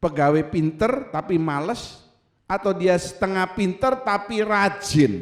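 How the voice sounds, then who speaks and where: A man speaks in a high pitch with an animated tone. His pace is fairly slow. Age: 70s. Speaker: pastor. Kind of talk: sermon.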